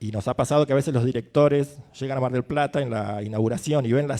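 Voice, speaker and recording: Speaking at a very fast pace, the voice has a dark, mellow tone and ordinary pitch variation. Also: man. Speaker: film festival programmer. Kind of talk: panel discussion. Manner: hesitant, many fillers.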